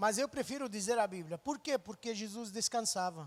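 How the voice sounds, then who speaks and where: A man with a Lebanese accent talks at a moderate pace, his pitch swinging very widely. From Lebanon (Beirut). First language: Arabic (speaking Portuguese). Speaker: missionary. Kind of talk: testimony.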